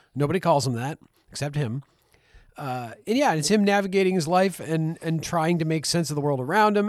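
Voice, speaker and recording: On a very clean recording with a silent background, a man with a normal speaking voice talks at a fairly high pitch and fairly quick pace with lively intonation. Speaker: podcast co-host. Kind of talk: casual chat.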